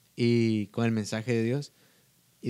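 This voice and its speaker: This is a man speaking. His pitch sits at a medium level. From Guatemala. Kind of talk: casual chat.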